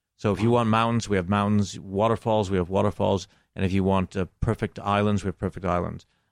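A man's fairly low voice with an American accent at a very fast pace, with monotone, flat intonation and very even loudness, in a dry, close sound with no echo and a quiet background. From Buffalo, New York, US. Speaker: cinematographer and director. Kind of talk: interview.

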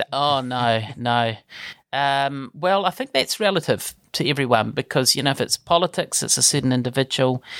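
A man with a New Zealand accent talks at a moderate pace, at medium pitch and with ordinary pitch variation. The sound is dry and close with no echo, on a very clean recording with a silent background. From New Zealand, Palmerston North. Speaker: politician. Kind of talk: interview. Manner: hesitant, many fillers.

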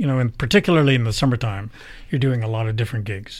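With ordinary pitch variation, a man speaks in a somewhat breathy voice. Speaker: podcast host. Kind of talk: interview. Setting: radio studio.

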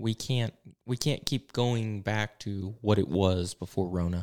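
With an Appalachian accent, a man speaks at a moderate pace and fairly low pitch, his intonation fairly even, in a very clean recording with a silent background. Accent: Appalachian Southern US. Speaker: pastor and podcast host. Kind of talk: casual chat. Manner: informal, off the cuff with many fillers.

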